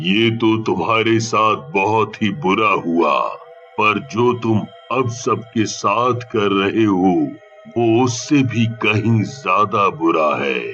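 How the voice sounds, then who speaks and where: Over clear background music, a man in a cartoonish character voice speaks very slowly at a medium pitch. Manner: calm, weighty.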